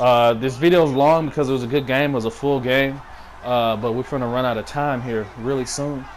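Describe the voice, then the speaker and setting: A man at medium pitch speaks at a fairly quick pace with fairly even intonation over noticeable background noise. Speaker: gaming commentator. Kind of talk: gameplay commentary.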